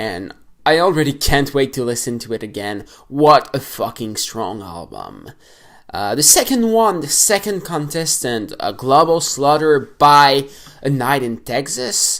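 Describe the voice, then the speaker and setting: A fairly slow delivery in a non-native accent, on a very clean recording with a silent background. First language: not English. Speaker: metal music YouTuber. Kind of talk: casual album review vlog. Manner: hesitant, many fillers; animated.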